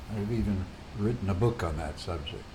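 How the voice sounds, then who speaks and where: A man with an American accent, fairly low-pitched, at a fairly quick pace amid audible room echo. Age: 80s+. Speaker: retired physicist and psychotherapist. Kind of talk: casual monologue to camera.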